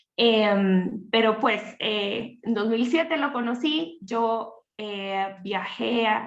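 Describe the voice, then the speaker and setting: This woman's voice sits at a fairly high pitch with ordinary pitch variation. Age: 30s. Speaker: teacher and family ministry leader. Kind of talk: interview on livestream.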